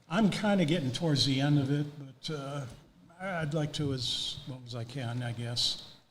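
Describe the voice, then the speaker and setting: In an audible room echo, a man with an American accent talks at a fairly high pitch with ordinary pitch variation. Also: moderate pace. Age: 70s. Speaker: racing photographer. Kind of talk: interview. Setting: on-site at hall of fame. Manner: halting, many fillers.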